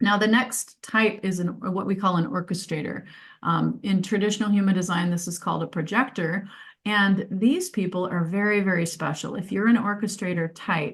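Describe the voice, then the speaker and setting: Against a quiet background, a woman speaks at a moderate pace in a somewhat breathy voice of medium pitch. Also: ordinary pitch variation. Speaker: life purpose coach. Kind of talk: presentation. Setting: video call.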